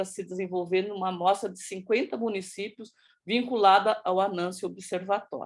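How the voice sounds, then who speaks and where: This woman has a plain, everyday voice, medium in pitch, at a moderate pace with fairly even intonation. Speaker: project presenter in education working group. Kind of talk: presentation. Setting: video call with screen sharing.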